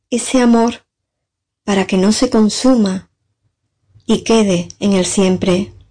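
The voice has a dark, mellow tone, somewhat breathy, delivered at a very slow pace. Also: woman. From San Fernando, Cádiz, Spain. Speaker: poet. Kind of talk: recorded testimony and poetry reading.

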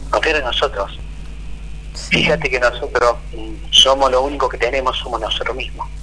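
A man speaks at an even, moderate speed while clear background noise is audible. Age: 60s. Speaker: biodecoding therapist. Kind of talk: interview.

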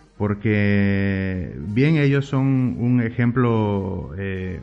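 Background music is playing. Over it, a man's voice rises and falls with ordinary pitch variation. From Oaxaca, Mexico. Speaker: urban artist. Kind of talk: interview. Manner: halting, frequent fillers.

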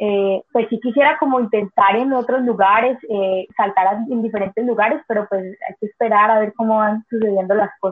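Hardly any pauses in a plain, everyday voice of moderate pace and ordinary pitch variation. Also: woman, fairly high pitch for a woman. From Colombia, Cali. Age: 20s. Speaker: cliff diver. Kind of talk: interview.

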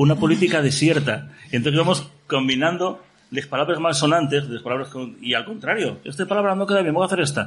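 A somewhat breathy man talks at a fairly quick pace with hardly any pauses, his fairly high pitch showing ordinary variation amid audible room echo. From Asturias, Gijón. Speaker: pop musician. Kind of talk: casual chat. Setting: stage with audience.

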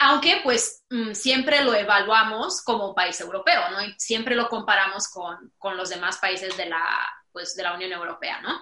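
In a Mexican accent, a woman speaks at medium pitch. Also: ordinary pitch variation, fairly slow pace. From Romania. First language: Romanian (speaking Spanish). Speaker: digital business consultant. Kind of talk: casual chat.

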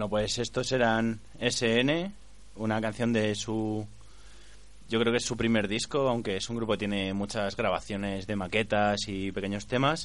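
A man speaks in an ordinary speaking voice, fairly low in pitch, at a fairly slow pace with fairly even intonation. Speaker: radio co-host. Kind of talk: casual radio chat. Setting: studio.

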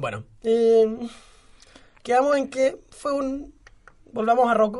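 His pitch is extremely high, and his intonation fairly even. The man speaks at a very slow pace. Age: 20s. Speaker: podcast co-host. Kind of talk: casual chat.

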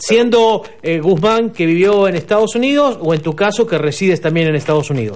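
A man speaks in a high voice. His intonation is lively. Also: moderate pace. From Peru, Arequipa. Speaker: radio host. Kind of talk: interview.

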